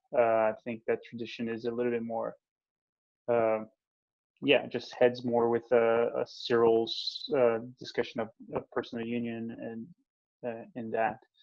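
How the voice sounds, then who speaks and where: Fairly slow, flat male speech in a Portuguese accent, medium in pitch, with long, frequent pauses. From Brazil. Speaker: theologian. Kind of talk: interview. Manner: halting.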